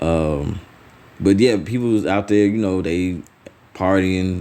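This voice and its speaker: Speaking at a fairly slow pace, a man uses a very deep, low voice with ordinary pitch variation. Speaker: religious teacher. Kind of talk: sermon. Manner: halting, repeats words.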